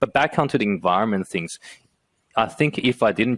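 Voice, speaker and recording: In a Chinese accent, a man speaks at a moderate pace with ordinary pitch variation. The sound is dry and close, with no echo. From China, Shanghai. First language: Mandarin Chinese. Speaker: entrepreneur and engineer. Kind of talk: podcast interview. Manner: halting, many fillers.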